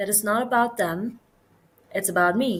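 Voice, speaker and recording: Her pitch is medium, with ordinary variation. The woman speaks in a Persian accent. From Iran. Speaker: podcast guest. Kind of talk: casual conversation.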